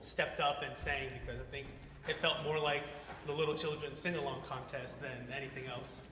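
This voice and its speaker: A man talks at a fairly high pitch. Audible room echo and noticeable background noise surround his voice. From Korea, moved to US at five. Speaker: event host. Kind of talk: event emcee announcements. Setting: church hall stage with audience.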